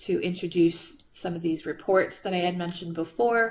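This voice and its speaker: This is an unremarkable speaking voice. It proceeds at a fairly slow pace. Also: woman. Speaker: math instructor. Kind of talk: online class lecture. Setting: video call.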